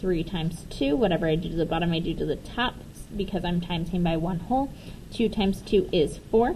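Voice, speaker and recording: Speaking at a fairly quick pace, a woman with a fairly low pitch and ordinary pitch variation sounds dark, mellow and somewhat breathy. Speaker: teacher. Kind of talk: tutorial.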